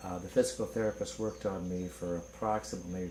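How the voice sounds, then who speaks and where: At a moderate pace, a man speaks in a fairly low pitch, with audible echo in the room. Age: 60s. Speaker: patient giving testimonial. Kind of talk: testimony.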